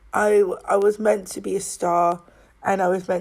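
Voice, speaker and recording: A woman speaks with a southern English accent at a medium pitch. Her intonation is monotone and flat, and her pace is moderate. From England, Oxford. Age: 30s. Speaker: video diarist. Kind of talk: personal video diary monologue. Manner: halting, repetitive.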